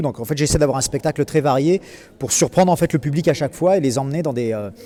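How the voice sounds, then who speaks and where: The man's tone is dark and mellow. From southern France, Marseille. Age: 30s. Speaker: comedian. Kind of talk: interview. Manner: hesitant, many fillers.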